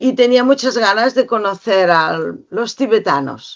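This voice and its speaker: A woman speaks with lively intonation at a fairly high pitch. Her pace is very slow. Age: 60s. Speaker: educator and author. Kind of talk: interview talk to a small audience. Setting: library with small audience.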